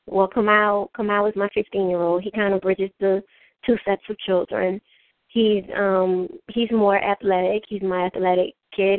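A woman with a New Orleans accent speaks at medium pitch and a moderate pace, her intonation monotone and flat. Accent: New Orleans Southern US. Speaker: author and spoken word poet. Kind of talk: interview.

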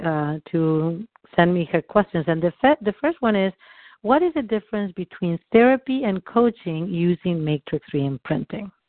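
Lively intonation runs through this speech in a non-native accent. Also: woman. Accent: noticeable foreign. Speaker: EFT coach. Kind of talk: teaching call. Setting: live recorded call.

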